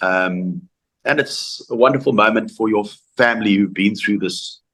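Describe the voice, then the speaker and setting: A man with a South African accent speaks at a fairly quick pace. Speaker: former rugby player. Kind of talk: interview. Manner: halting.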